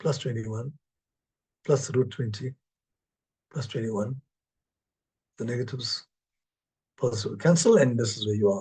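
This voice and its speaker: This somewhat breathy voice has a dark, mellow tone and ordinary pitch variation, broken up by long, frequent pauses. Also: man, medium pitch for a man. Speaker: mathematics professor. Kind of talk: lecture. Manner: fast.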